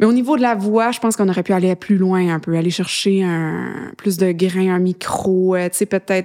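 A woman with a dark, mellow tone and fairly even intonation is heard on a very clean recording with a silent background. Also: medium pitch for a woman, moderate pace. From Quebec, Eastern Townships and Montreal. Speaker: singer-songwriter. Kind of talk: interview. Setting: studio. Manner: casual, hesitant.

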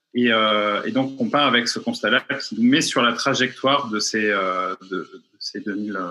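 A man with a medium pitch speaks fairly slowly, his intonation fairly even. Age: 30s. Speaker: architect and urban planner, citizen assembly member. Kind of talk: interview. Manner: halting, many repetitions and fillers.

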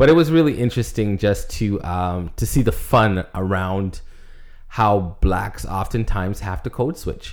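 Fairly slow and lively in intonation, a man speaks at a fairly low pitch in an unremarkable speaking voice. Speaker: podcast co-host. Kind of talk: casual podcast chat.

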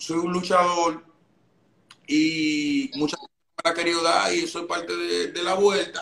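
A man's high-pitched voice, bright and sharp in tone, at a fairly slow pace. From Dominican Republic. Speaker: trap rapper. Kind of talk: casual chat. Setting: live stream.

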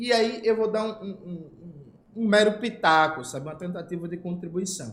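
Lively in intonation, a man speaks in a high voice. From Brazil, Recife (Pernambuco). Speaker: political YouTuber. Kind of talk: casual political commentary.

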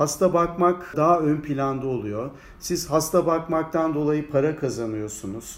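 A man has a plain, everyday voice. It sits fairly high, with ordinary pitch variation. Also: fairly slow pace. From Turkey, Ankara. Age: 60s. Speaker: anatomy professor. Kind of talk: interview.

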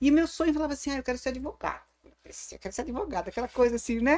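This woman has a high-pitched voice. The recording is very clean, with a silent background. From Brazil, Santo André (São Paulo). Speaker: business lawyer. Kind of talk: casual chat.

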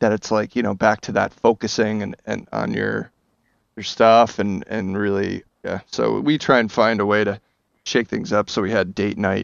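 A man with an American accent, fairly low pitch, fairly even intonation and vocal fry. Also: moderate pace. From New Jersey, Bergen County. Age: 30s. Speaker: actor. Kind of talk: casual chat. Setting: video call.

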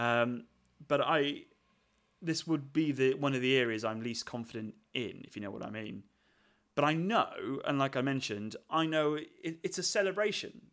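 A man speaks at a moderate pace in a fairly high pitch, with lively intonation. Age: 30s. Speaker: curate co-host. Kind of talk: casual chat. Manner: halting.

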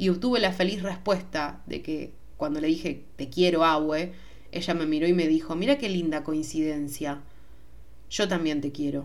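Speaking at a moderate pace in a Rioplatense accent, a woman with a very deep, low voice shows ordinary pitch variation amid audible room echo. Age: 20s. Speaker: podcast host. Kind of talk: solo podcast monologue. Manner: casual, hesitant with fillers.

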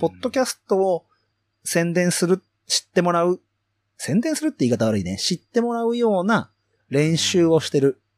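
A man with a high pitch talks at a fairly quick pace. The recording is very clean and dry, close with no echo, over a silent background. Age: 30s. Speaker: farmer and podcaster. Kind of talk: casual chat.

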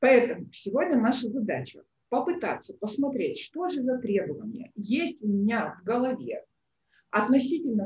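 With an unremarkable speaking voice, a woman talks at a moderate pace and fairly high pitch, her intonation lively. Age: 30s. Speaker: psychologist and coach. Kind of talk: online workshop. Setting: livestream, also on her own social page.

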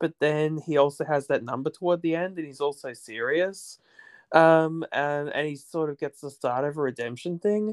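At a moderate pace, a man with an ordinary speaking voice and a fairly high pitch uses ordinary pitch variation, recorded with a dry, close sound with no echo against a quiet background. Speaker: podcast guest. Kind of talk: casual interview chat.

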